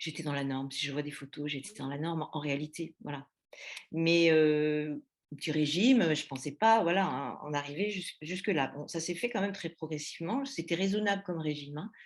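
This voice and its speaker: A woman with a very deep, low voice speaks with ordinary pitch variation. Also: moderate pace. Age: 60s. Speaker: eating disorder patient giving testimony. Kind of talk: testimony. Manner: halting, many hesitations.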